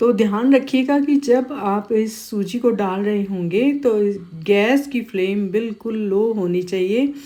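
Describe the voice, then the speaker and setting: Speech from a woman comes very slowly. Her intonation rises and falls in an ordinary way. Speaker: cooking channel host. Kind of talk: cooking tutorial. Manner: casual, halting with fillers.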